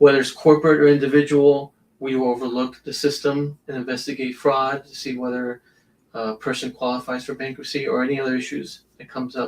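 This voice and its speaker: A man talks at a fairly quick pace in a medium pitch, his intonation monotone and flat. His loudness swings a lot. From South Florida, Hialeah, Cuban-American family. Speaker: judicial candidate, attorney. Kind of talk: interview.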